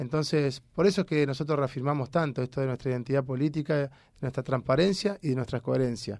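On a very clean recording with a silent background, a man speaks very fast with a Rioplatense accent. His voice is fairly high with ordinary pitch variation. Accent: Argentine Spanish (rioplatense). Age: 40s. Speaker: politician, legislative candidate. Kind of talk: interview.

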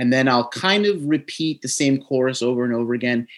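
Speaking at a moderate pace with a New Jersey accent, a man uses a medium pitch and ordinary pitch variation on a very clean recording with a silent background. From New Jersey, US Northeast. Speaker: podcast host. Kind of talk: casual chat and interview. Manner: usually loud and hyped, mellow today.

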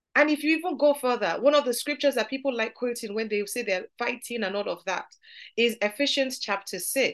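Ordinary pitch variation at a fairly quick pace, over a quiet background. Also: woman, high pitch for a woman. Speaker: Bible study teacher. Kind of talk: Bible study teaching. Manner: lowered, softer tone.

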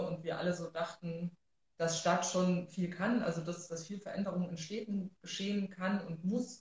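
This woman has an ordinary speaking voice, pitched fairly low. She talks at a fairly quick pace with fairly even intonation. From Thuringia, Germany (Rudolstadt). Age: 30s. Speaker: social worker and city council member. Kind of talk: livestream interview. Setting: livestream.

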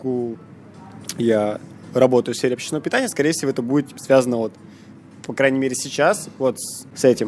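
Music plays in the background as a man speaks at medium pitch with ordinary pitch variation. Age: 20s. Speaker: bartender. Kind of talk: casual chat.

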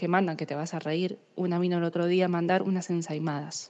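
A woman speaks with an Argentine accent at a fairly low pitch. Her pace is fairly quick. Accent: Argentine Spanish (rioplatense voseo). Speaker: courier company office worker. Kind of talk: recorded voice message, casual.

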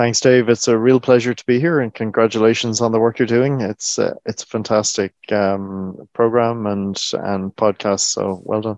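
With an Irish accent, a man talks at medium pitch and a moderate pace, his intonation fairly even. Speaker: government agency chief executive. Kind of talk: interview.

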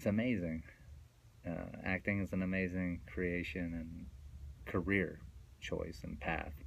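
A man with a very deep, low pitch talks at a fairly slow pace with fairly even intonation, long and frequent pauses, and audible room echo. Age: 30s. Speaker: radio host. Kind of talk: casual monologue. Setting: radio studio. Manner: rambling, meandering.

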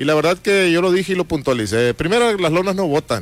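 A plain, everyday voice carries lively intonation at a fairly quick pace. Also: man. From Mexico, Baja California Sur (Todos Santos). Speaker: political candidate. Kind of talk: radio interview. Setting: radio studio.

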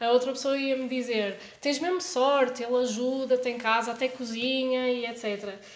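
A woman speaks in a high voice at a moderate pace, with fairly even intonation and hardly any pauses. There is audible echo from the room. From born in France (Lyon), Portuguese podcast. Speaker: podcast host. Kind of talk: casual chat.

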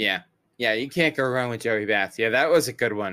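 Recorded very cleanly against a silent background, a man with an ordinary speaking voice talks at a medium pitch with ordinary pitch variation. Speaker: baseball podcast host. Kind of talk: casual chat.

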